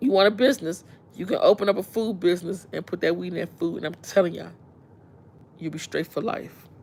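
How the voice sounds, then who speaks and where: A woman talks at a very fast pace with a DC accent and a fairly low pitch. Her loudness swings widely while her pitch varies in an ordinary way. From Washington DC. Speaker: live streamer. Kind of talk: casual chat. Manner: animated.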